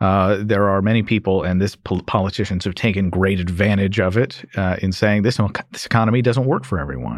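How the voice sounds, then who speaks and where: With a normal speaking voice, a man talks at a fairly low pitch with ordinary pitch variation, in a very clean recording over a silent background. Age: young. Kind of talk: interview.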